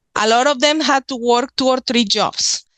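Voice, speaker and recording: A woman in a strong Mexican accent, fairly slow and fairly even in intonation, with a dry, close sound and no echo. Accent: thick Mexican Spanish. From Mexico, Nuevo León. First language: Spanish. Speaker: author and witchcraft practitioner. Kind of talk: podcast interview.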